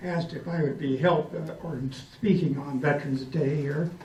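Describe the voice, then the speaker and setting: Audible room echo and noticeable background noise surround a man speaking at a fairly high pitch and fairly slow pace, with ordinary pitch variation. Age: 80s+. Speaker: World War II veteran. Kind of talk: speech. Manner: halting.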